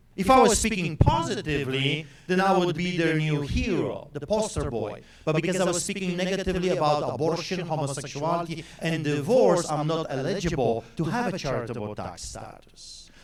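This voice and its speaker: A man with a Polish accent talks at a fairly quick pace in a high pitch, with lively intonation and hardly any pauses. Noticeable background noise and audible room echo surround his voice. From Poland. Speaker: pastor. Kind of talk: speech to audience. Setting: stage with audience. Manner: animated.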